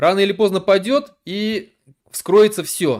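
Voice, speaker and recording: This man's pitch is high. His speech is very slow. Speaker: political activist, streamer. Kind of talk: live stream monologue. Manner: hesitant, many fillers and restarts.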